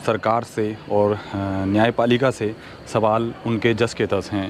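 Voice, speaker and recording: A man's medium pitch and fairly even intonation, with noticeable background noise. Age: 40s. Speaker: social commentary video host. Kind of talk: opinion monologue to camera. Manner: earnest, with hesitations.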